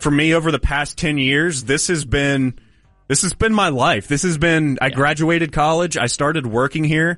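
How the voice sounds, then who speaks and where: In an unremarkable speaking voice, a man talks at a moderate pace with an American accent and ordinary pitch variation against a quiet background. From Denton County, Texas. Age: 30s. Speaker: sports radio host. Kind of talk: casual chat.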